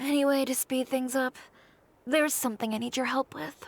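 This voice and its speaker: Using a put-on character voice, a woman speaks at a high pitch. Her pace is fairly quick. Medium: video game. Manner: direct, brisk.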